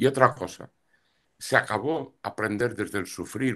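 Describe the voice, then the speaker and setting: The speaker has a plain, everyday voice and talks at a moderate pace. The background is quiet. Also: man. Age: 60s. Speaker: astrologer and tarot reader. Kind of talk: interview.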